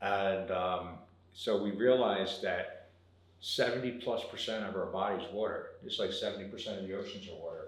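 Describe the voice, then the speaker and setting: A man talks at a moderate pace. The room echo around him is audible. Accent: American. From South Jersey, US. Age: 50s. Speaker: water filtration business owner. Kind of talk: interview. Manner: casual.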